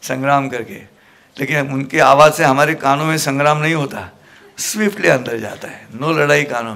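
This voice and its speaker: This man speaks at a fairly high pitch, and his pitch varies in an ordinary way. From Maharashtra, India. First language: Marathi (speaking Hindi). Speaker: motivational speaker and Gita preacher. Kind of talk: motivational talk to a student audience. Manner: animated.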